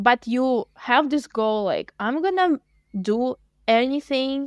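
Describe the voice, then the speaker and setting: In a Russian accent, a woman talks at a very slow pace with lively intonation. Her voice sounds dry and close with no echo. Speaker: language teacher. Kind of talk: casual chat.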